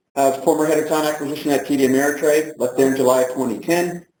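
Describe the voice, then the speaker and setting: Audible room echo surrounds a man talking at a very fast pace in a fairly high pitch. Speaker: nonprofit founder and speaker. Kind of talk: lecture. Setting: stage with audience.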